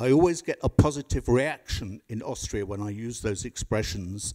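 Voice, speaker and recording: Against a quiet background, a man with a dark, mellow tone talks at a moderate pace with ordinary pitch variation. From England. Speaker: barrister, audience member; audience member. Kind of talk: audience question. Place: hall.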